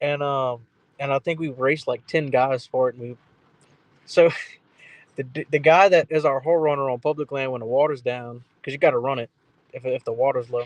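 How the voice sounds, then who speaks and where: Speaking fairly quickly with a Louisiana accent, a man with a fairly high voice leaves long, frequent pauses, recorded dry and close with no echo. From South Louisiana. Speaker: duck hunter. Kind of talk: casual chat. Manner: fast; slight stumble when excited.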